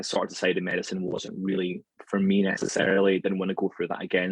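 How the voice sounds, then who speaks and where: A man with a Scottish accent speaks at a very fast pace. His fairly low voice comes through dry and close, with no echo. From Scotland, near Glasgow. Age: 30s. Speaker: anatomy lecturer. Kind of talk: podcast interview.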